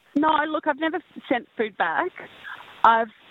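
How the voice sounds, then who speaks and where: The speaker has an Australian accent. She is a woman. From Tasmania, Australia. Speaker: cooking show contestant and restaurant owner. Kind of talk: casual chat.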